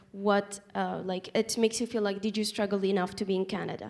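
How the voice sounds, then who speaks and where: Against noticeable background noise, a woman with a non-native accent speaks at a fairly quick pace in a monotone, flat intonation. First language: not English. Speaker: refugee panelist. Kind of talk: panel discussion. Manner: halting.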